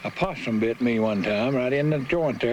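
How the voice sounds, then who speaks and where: There is noticeable background noise behind this man. He speaks with an Appalachian accent and ordinary pitch variation. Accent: Appalachian North Carolina. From Brushy Mountains, Wilkes County, North Carolina. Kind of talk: oral history interview. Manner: storytelling, humorous.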